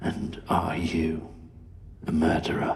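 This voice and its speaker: A man speaks in a raspy, very deep voice, putting on a character. Background noise is clearly audible. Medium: short film. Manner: measured, grave.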